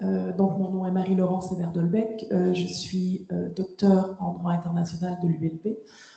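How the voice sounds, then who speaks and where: The speech moves at a fairly slow pace with hardly any pauses and monotone, flat intonation over noticeable background noise. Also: woman. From Quebec. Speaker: lawyer and law lecturer. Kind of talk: round-table panel talk. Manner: hesitant, many fillers.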